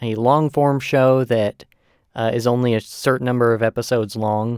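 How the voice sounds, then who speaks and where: Dry and close with no echo, a man in an unremarkable speaking voice talks at a moderate pace, with medium pitch and fairly even intonation. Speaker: podcast host. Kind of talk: casual chat.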